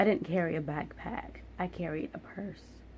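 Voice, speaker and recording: This woman has an American accent. Her voice is somewhat breathy. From Philadelphia, US. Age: 20s. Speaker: vlogger. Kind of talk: storytime vlog.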